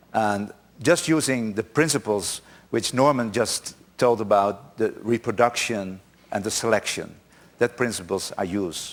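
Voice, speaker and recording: A man with a Dutch accent speaks at a fairly slow pace in a medium pitch with ordinary pitch variation. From Netherlands. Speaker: conference speaker. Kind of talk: conference talk. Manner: halting.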